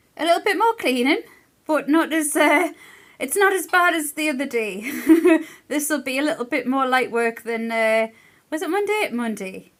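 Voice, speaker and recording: Speaking in a British accent at a moderate pace, a woman uses a high pitch with very wide pitch swings and a bright, sharp tone. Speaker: small business owner and vlogger. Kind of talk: casual vlog. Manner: chatty.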